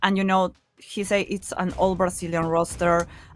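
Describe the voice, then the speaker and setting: Music plays in the background as a woman with a medium pitch speaks at a moderate pace. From Peru. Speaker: esports caster. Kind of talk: live esports commentary. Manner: animated.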